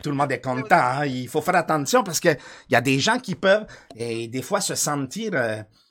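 A man's animated, fairly high voice with very wide pitch swings, at a moderate pace. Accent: Quebec. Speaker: live streamer. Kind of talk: casual live-stream chat. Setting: studio.

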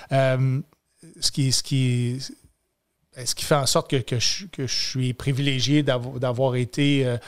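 A man in a Quebec accent, fairly high in pitch, on a very clean recording with a silent background. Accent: Québécois French. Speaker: comedian and military veteran. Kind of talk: casual chat.

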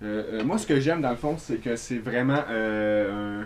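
This man talks at a very slow pace, his medium pitch showing ordinary variation. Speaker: podcast co-host. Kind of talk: casual chat.

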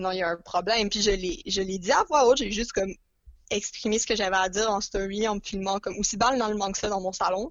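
Here is a woman with an unremarkable speaking voice. She talks at a fairly quick pace, medium in pitch, with ordinary pitch variation. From Montreal, Quebec. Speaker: podcast guest, book lover. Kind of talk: casual chat.

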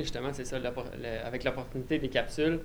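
There is audible room echo around a man as he speaks. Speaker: forestry student. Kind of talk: casual chat.

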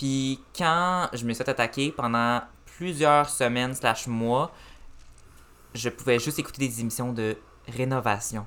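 Very slow speech from a man at medium pitch, bright, sharp tone, ordinary pitch variation and long, frequent pauses, on a very clean recording with a silent background. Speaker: cinema manager and podcaster. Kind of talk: casual chat. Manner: calm.

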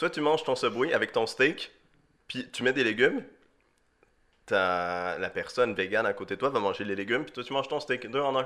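A man with a slight Swiss French accent, an animated tone and long, frequent pauses, on a very clean recording with a silent background. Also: moderate pace. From Switzerland. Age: young. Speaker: podcast co-host for the episode. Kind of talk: casual chat.

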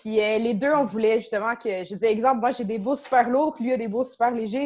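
This is an unremarkable speaking voice from a woman. She speaks at a fairly high pitch with ordinary pitch variation. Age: 20s. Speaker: karate instructor and dojo co-owner. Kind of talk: interview.

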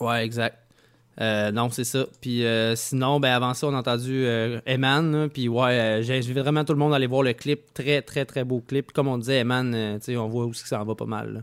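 A man speaks in a Quebec accent with a medium pitch. His intonation is monotone and flat, at a moderate pace. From Quebec, Saint-Nicolas near Quebec City. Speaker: radio host. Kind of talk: casual radio chat. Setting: home studio, remote radio show.

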